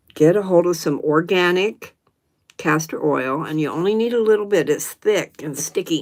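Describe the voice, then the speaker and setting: A woman talks with a Southern US accent. Her pace is moderate. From US South, North Carolina. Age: 70s. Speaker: livestream host. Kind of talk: casual chat. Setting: live stream.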